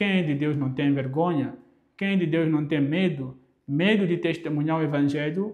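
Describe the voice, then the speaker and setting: A man with a Mozambican accent speaks with fairly even intonation amid audible room echo. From Mozambique. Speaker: preacher. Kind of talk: sermon. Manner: halting, frequent repetitions.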